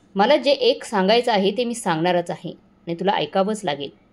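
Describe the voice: Lively intonation carries this plain reading aloud.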